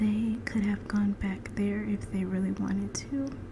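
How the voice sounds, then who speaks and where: A woman speaks at a fairly slow pace in a soothing tone, with noticeable background noise behind her. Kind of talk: Bible reading ASMR. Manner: soft-spoken, soothing.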